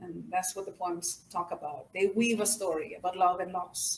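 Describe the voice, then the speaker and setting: The woman speaks with a Mexican accent. Her intonation stays fairly even. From Mexico / Rio Grande Valley, Texas. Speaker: poet. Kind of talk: audience Q&A. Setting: stage with audience.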